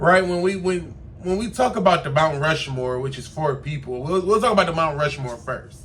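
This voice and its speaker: Audible room echo surrounds a man who speaks at a moderate pace with a fairly high pitch and lively intonation. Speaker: podcast host. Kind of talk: casual commentary monologue. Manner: animated.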